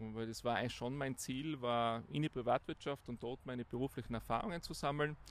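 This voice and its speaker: His pace is fairly quick. This man's pitch rises and falls in an ordinary way. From Austria, Tyrol (Innsbruck). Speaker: business executive. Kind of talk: interview. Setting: outdoors.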